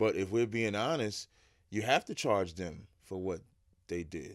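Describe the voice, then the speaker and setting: A man uses an ordinary speaking voice at a fairly low pitch, moderate in pace with ordinary pitch variation. The recording is very clean, with a silent background. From New Jersey, Jersey City. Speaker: religious teacher. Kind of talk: interview.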